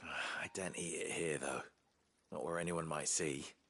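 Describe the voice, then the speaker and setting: A man puts on a raspy character voice with a very deep, low pitch and a tired tone. He keeps a moderate pace, very even loudness and fairly even intonation. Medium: video game. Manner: tired, hushed.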